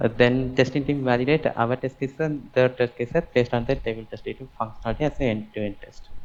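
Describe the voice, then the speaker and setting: Delivered at a very fast pace with hardly any pauses, the speech keeps a fairly even intonation while its loudness swings widely. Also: man, medium pitch for a man. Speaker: java developer job candidate. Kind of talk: job interview. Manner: halting; soft-spoken.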